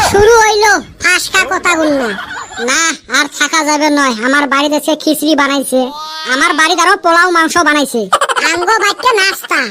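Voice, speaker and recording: A cartoonish character voice, high-pitched, at a moderate pace over clear background noise. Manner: teasing, chatty.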